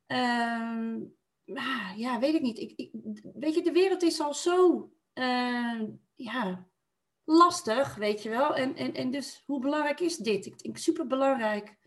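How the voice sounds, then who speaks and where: With a high pitch and lively intonation, a woman speaks at a very slow pace. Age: 40s. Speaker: podcast guest, mother. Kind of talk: casual conversation. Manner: laughs often.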